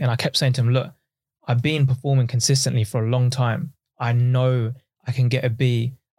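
A man speaks at a very fast pace in a somewhat breathy, medium-pitched voice with monotone, flat intonation. The recording is very clean, the background silent. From East London and Essex, Pakistani family. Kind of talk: casual chat.

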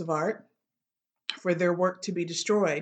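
A woman with an American accent, fairly low in pitch, at a fairly slow pace. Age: 50s. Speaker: podcast host, educator. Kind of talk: personal commentary.

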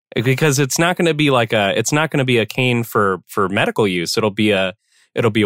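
He talks fairly quickly. The man's medium-pitched tone is a plain, everyday voice. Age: 20s. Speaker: podcast co-host, tech researcher. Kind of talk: casual chat. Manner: many fillers and restarts.

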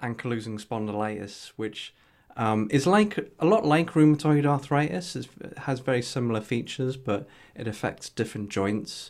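This man has a Geordie accent and a medium pitch. The recording is very clean, with a silent background. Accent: Geordie, northeast English. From northeast England. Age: 30s. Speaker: health tech entrepreneur with ankylosing spondylitis. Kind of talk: casual interview chat.

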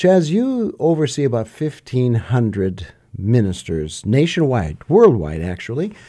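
On a very clean recording with a silent background, a man's dark, mellow voice moves at a fairly slow pace through very wide pitch swings. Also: medium pitch for a man. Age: 60s. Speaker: podcast host and pastor. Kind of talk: interview conversation; scripted narration.

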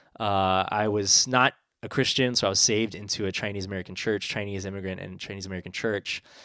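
The speech races at a very fast pace with a bright, sharp tone and monotone, flat intonation. The recording is very clean, with a silent background. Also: man, fairly low pitch for a man. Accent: West Coast. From San Francisco. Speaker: pastor. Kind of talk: casual chat.

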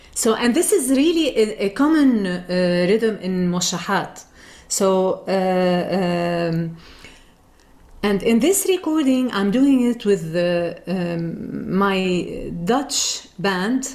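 With an Arabic accent, a woman speaks very slowly at a medium pitch, her intonation lively. Noticeable background noise runs under her voice. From Lebanon. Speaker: singer and music teacher. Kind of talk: interview.

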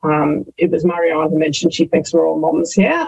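A woman speaks in an Australian accent. Her pitch is fairly low. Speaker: social impact manager. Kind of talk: casual interview chat.

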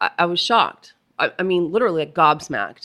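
A woman speaks with lively intonation and a bright, sharp tone. The recording is very clean, with a silent background. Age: 40s. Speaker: financial planner and coach. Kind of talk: interview, coaching talk.

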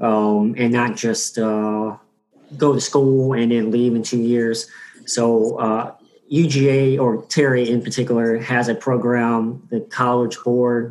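An American accent marks a man speaking at a very slow pace and medium pitch. His intonation is monotone and flat, and his loudness stays very even. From Georgia, US. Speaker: MBA student, military veteran. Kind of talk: panel discussion.

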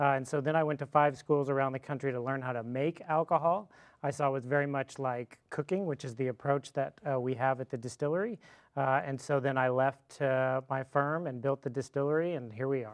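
In a plain, everyday voice, a man talks at a fairly quick pace with a fairly high pitch and fairly even intonation. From Fort Worth, Texas. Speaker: distillery owner, former attorney. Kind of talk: casual interview.

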